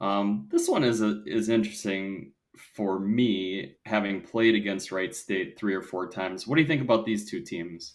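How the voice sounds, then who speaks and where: A man with a Wisconsin accent talks with hardly any pauses. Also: fairly low pitch for a man, ordinary pitch variation, moderate pace. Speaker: volleyball podcast co-host. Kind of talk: casual discussion.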